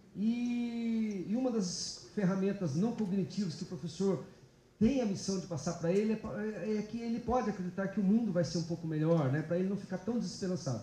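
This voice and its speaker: A man with a high voice speaks at a fairly quick pace, his pitch varying in an ordinary way, with audible room echo. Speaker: public prosecutor giving a talk. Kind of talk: lecture. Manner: halting, many fillers.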